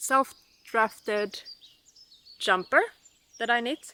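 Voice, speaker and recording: The tone is bright and sharp. The delivery comes at a very slow pace. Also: woman. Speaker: knitting vlogger. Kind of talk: casual vlog chat. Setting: outdoors. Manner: speaking loudly.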